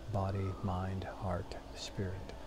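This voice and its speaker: Noticeable background noise is present. Over it, a man talks. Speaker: meditation teacher. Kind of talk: guided meditation, short one-minute beginner session with breath cues. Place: home room. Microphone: lapel.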